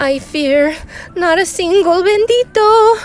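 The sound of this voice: In a put-on character voice, a woman speaks at an extremely high pitch and a slow pace with lively intonation. Faint music plays in the background.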